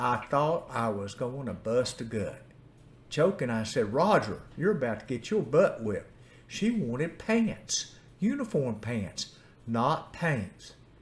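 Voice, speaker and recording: A man speaks very slowly in a medium pitch, his voice somewhat breathy and his pitch swinging very widely. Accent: Appalachian. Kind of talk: personal storytelling.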